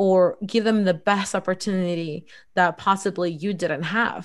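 A woman speaks at a medium pitch in a Spanish accent. The recording is very clean, with a silent background. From El Salvador, raised in US Midwest. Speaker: lawyer and entrepreneur. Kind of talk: interview conversation.

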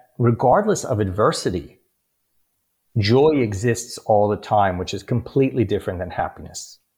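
On a very clean recording with a silent background, a man with a New York accent speaks at medium pitch, somewhat breathy, with lively intonation. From New York City (Bronx, Queens). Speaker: life coach and author. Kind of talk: interview.

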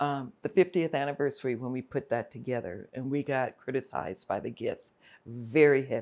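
A woman with an American accent, very deep and low in pitch, with lively intonation at a fairly quick pace, on a very clean recording with a silent background. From South Central Los Angeles (Watts, Compton). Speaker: retired theme park manager. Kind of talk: interview conversation.

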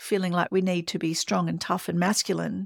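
The voice carries an Australian accent. The recording is very clean with a silent background and a dry, close sound with no echo. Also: woman. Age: 50s. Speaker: podcast host. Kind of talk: solo podcast monologue.

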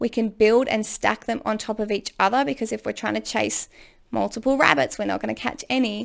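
Over a silent background in a very clean recording, a woman speaks at a fairly quick pace. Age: 30s. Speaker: podcast host and ADHD coach. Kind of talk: solo monologue advice podcast. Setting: home recording room. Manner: casual and chatty.

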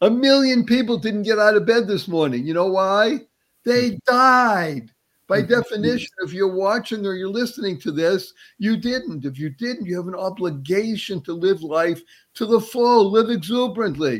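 At a moderate pace, a man with a high pitch speaks with lively intonation on a very clean recording with a silent background. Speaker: motivational speaker and entrepreneur. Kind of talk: interview. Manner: energetic.

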